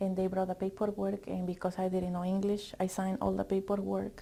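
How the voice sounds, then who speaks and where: A somewhat breathy woman with a Spanish accent at a fairly quick pace. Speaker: teacher education student. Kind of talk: interview testimony. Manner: halting.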